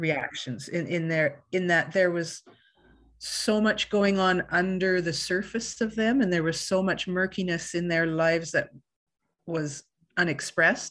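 A woman with a Canadian Prairies accent, fairly low pitch, ordinary pitch variation, and a fairly slow pace against a quiet background. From Canada, Winnipeg, Manitoba. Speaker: costume designer. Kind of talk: interview.

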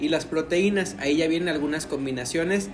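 Amid noticeable background noise and audible room echo, a man speaks at a high pitch with lively intonation. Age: 20s. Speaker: podcast co-host. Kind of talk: casual chat.

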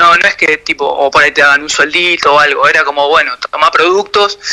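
There is music in the background. A man speaks at a fairly quick pace with ordinary pitch variation. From Argentina, Quilmes (Buenos Aires). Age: 40s. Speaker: professional skateboarder. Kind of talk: radio interview. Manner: halting.

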